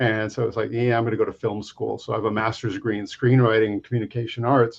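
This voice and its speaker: At a very fast pace, a man talks in a medium pitch with monotone, flat intonation. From US West Coast, Los Angeles area. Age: 60s. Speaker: comic book artist and creator. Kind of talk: interview conversation.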